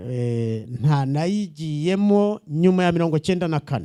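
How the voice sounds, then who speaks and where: With a Rwandan accent, a man speaks in a dark, mellow tone with lively intonation. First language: Kinyarwanda (speaking French). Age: 70s. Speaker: visiting pastor. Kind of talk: church greeting with interpreter. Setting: church.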